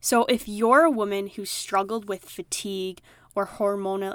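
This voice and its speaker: A woman with a strong Midwestern accent speaks at a medium pitch and fairly slow pace. Her intonation is monotone and flat, and the recording is very clean with a silent background. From Wisconsin. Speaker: health coach podcast host. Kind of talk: solo podcast monologue.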